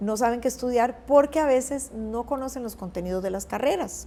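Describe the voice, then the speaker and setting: The pitch rises and falls in an ordinary way. The pace is moderate. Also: woman. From Costa Rica. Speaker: journalist and news anchor. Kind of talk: interview answer.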